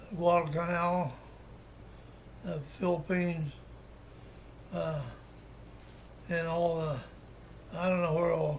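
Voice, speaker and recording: In an Appalachian accent, a man with a high pitch speaks very slowly in a flat monotone, pausing long and often. Room echo is audible. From Appalachia, West Virginia (Webster County). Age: 80s+. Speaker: war veteran. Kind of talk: oral history interview. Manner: halting, many restarts and fillers.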